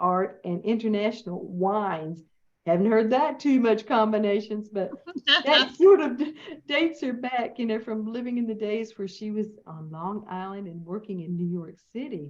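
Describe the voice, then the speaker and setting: A woman with a Southern US accent and fairly high pitch speaks at a fairly slow pace, with lively intonation and big swings in loudness. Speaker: interview host.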